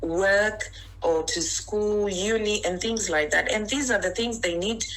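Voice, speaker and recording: There is noticeable background noise and audible room echo as a woman with a Zimbabwean accent talks at a fairly high pitch with ordinary pitch variation. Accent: Zimbabwean accent, still noticeable. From Zimbabwe (Harare). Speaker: interview guest. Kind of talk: interview.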